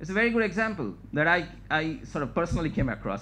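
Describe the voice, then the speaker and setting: A man speaks at a fairly quick pace, his pitch fairly high and its variation ordinary. Noticeable background noise and audible room echo are present. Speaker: scientist giving a research talk. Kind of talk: lecture. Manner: fast.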